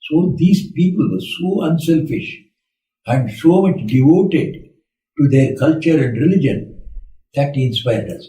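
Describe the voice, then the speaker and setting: With long, frequent pauses, a man speaks at a fairly slow pace and a fairly high pitch with ordinary pitch variation, and audible room echo can be heard. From India. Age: 80s+. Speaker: monk. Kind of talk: spiritual talk.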